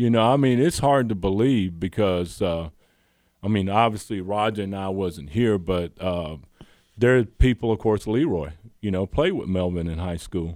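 A man's fairly low voice with a Southern US accent, ordinary pitch variation and a moderate pace. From US South, Georgia. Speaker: former college basketball player. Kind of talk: casual chat.

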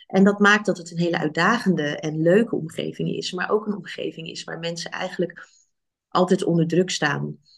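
With vocal fry and a fairly low pitch, a woman speaks at a moderate pace using fairly even intonation and big swings in loudness. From Netherlands, Rotterdam. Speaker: physician and coach. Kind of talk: podcast interview. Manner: halting.

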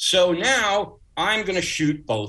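A man with an American accent speaks in a bright, sharp tone marked by vocal fry. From Long Island, New York (Uniondale, Nassau County). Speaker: pyrotechnics designer. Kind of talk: interview storytelling.

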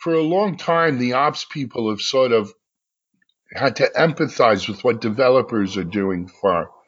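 Here a man speaks in a medium-pitched voice with lively intonation at a moderate pace. It is a plain, everyday voice. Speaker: podcast host. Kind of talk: interview chat.

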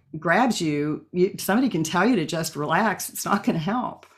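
A normal speaking voice from a woman with a fairly low pitch and an American accent. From Oklahoma. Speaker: Feldenkrais practitioner. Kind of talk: casual interview.

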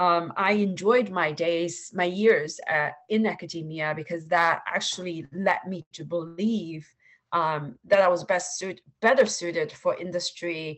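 The speaker moves at a fairly slow pace with hardly any pauses, in a Chinese accent. Intonation stays fairly even. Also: woman, fairly low pitch for a woman. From China (Suzhou, Shanghai). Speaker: venture capital investor. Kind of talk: interview. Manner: halting, many fillers.

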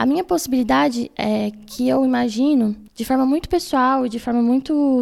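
A woman speaks at a moderate pace in a high voice. Her tone is dark and mellow. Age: 20s. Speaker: student union president. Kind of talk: casual interview. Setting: in-person studio interview. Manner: formal.

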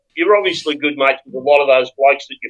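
Pitched fairly high, a man talks with an Australian accent. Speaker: podcast co-host. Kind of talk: casual chat. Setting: video call.

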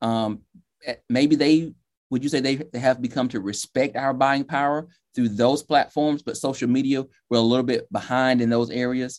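With fairly even intonation, a man talks at a moderate pace and a medium pitch. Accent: Southern US. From Georgia, US South. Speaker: podcast host. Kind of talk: interview.

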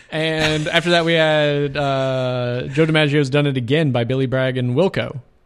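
Moderate pace, fairly even intonation and hardly any pauses over noticeable background noise. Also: man, fairly high pitch for a man. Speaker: community radio DJ. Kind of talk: comedic radio DJ patter. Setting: radio studio. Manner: giggly, stumbling over overlapping words; absurdist, playful ad-libbing.

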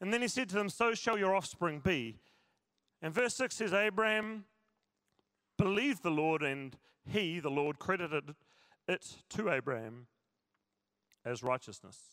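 With a South Island New Zealand accent, a man speaks at a moderate pace in a high pitch with a bright, sharp tone, very wide pitch swings and long, frequent pauses. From New Zealand, South Island. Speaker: pastor. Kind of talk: sermon. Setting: church.

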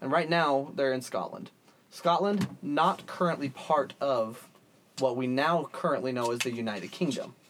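With lively intonation, a man speaks at a moderate pace in an unremarkable speaking voice with a fairly high pitch. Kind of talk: mock ring-style announcer banter, playful. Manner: theatrical, projecting, jokey.

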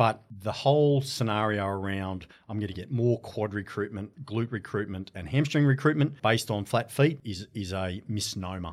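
A man with a fairly low pitch, a normal speaking voice, ordinary pitch variation, hardly any pauses and a moderate pace. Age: 40s. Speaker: sports science professor. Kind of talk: casual chat.

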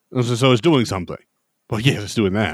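Speaking at a fairly quick pace, a man with a medium-pitched, plain, everyday voice is heard in a dry, close sound with no echo. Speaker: podcast host. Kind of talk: casual chat.

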